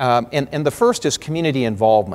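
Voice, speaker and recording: A man with an American accent talks at a fairly quick pace and medium pitch. His intonation is lively. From US Pacific Northwest, Spokane, Washington. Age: 50s. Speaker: lawyer and keynote speaker. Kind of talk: keynote speech. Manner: frequent fillers and restarts.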